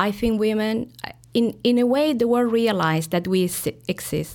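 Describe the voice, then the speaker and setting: Ordinary pitch variation from a woman, fairly slow, on a very clean recording with a silent background. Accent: Spanish. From Chile, Santiago. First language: Spanish. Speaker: diplomat. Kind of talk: interview.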